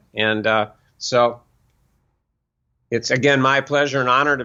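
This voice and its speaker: Fairly even intonation from a man at medium pitch, an ordinary speaking voice. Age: 60s. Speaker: author and self-help teacher. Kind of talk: casual interview.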